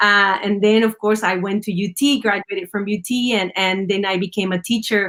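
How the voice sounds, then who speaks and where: A woman with a Spanish accent speaks fairly quickly at a medium pitch. Her intonation is flat and monotone. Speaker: union leader and former teacher. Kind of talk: interview. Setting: live stream.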